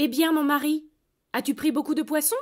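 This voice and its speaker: In a put-on character voice, a woman speaks at a high pitch and a moderate pace. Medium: read story. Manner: sharp, demanding.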